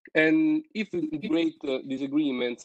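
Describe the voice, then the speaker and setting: With an Italian accent, someone speaks at a moderate pace. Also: man, dry, close sound with no echo. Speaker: seminar participant. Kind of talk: reading aloud. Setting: video call. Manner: halting.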